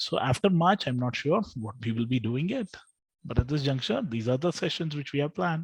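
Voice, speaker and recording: Speech with a South Indian accent at a moderate pace, with ordinary pitch variation and a quiet background. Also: man. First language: Telugu. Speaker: trading educator. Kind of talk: live webinar tutorial. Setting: live online session with screen share.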